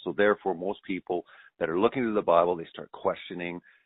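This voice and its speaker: A man speaks with a very deep, low voice. He talks very fast. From Canada. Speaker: documentary filmmaker. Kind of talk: radio interview.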